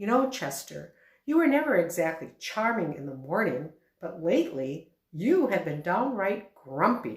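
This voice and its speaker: A woman's put-on character voice, medium in pitch, with very wide pitch swings at a moderate pace. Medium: read story. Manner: earnest, plain-spoken.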